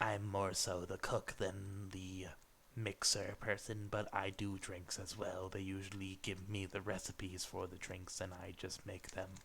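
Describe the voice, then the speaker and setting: A man uses a put-on character voice with a very deep, low pitch and monotone, flat intonation at a moderate pace. Clear background noise runs underneath. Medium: actual play. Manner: terse, low-key.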